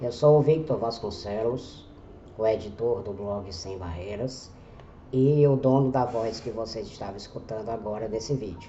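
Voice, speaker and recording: At a fairly slow pace, a man with medium pitch and ordinary pitch variation speaks in an unremarkable speaking voice. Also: big swings in loudness. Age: 40s. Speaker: journalist and blogger. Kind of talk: scripted narration.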